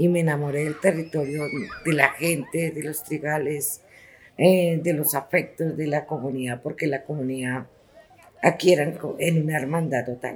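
A woman with a very deep, low pitch talks at a moderate pace, her intonation fairly even. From Bogotá, Colombia (Ciudad Bolívar). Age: 60s. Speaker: local historian and cultural organizer. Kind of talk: testimony. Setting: public library. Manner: halting.

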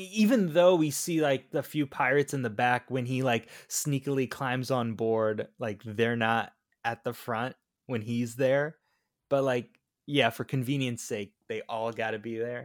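On a very clean recording with a silent background, a man with an American accent speaks in an unremarkable speaking voice at medium pitch. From Florida. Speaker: podcast co-host. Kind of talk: casual chat.

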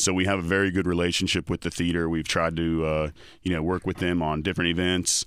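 A very fast, monotone, flat delivery from a man with a very deep, low pitch and an American accent, very even in loudness, in a very clean recording with a silent background. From Raleigh, North Carolina. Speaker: restaurant owner. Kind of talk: casual chat.

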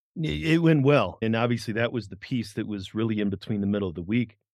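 A man speaks at a medium pitch in an unremarkable speaking voice. The background is quiet. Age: 40s. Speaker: podcast host and first-time marathon trainee. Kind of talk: casual chat.

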